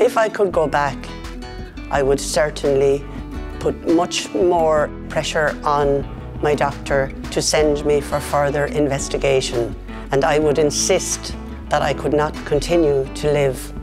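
A woman speaks at a fairly slow pace. Clear music plays in the background. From Ireland. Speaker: patient advocate. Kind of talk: interview answer. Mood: calm, earnest. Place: office. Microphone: lapel.

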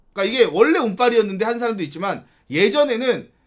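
Against a quiet background, a man talks at a fairly quick pace and a high pitch, with lively intonation. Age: 30s. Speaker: gaming streamer. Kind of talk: casual commentary reacting to news. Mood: reflective, mildly wistful. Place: home room.

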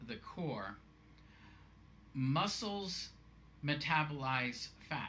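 Light background noise sits under a voice with a bright, sharp tone and lively intonation. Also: man. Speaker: fitness vlogger. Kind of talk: tutorial. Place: home room. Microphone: webcam.

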